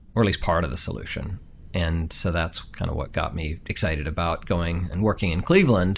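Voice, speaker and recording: A man with an American accent speaks at a very deep, low pitch. His pace is fairly quick. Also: ordinary pitch variation. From international upbringing, teens in Colorado. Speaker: city manager. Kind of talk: interview.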